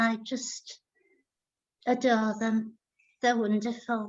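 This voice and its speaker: In an English accent, a woman speaks very slowly at a fairly high pitch with monotone, flat intonation. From Iraq and England (Baghdad childhood, moved to England 1970s). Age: 60s. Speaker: artist. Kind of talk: Q&A at online lecture.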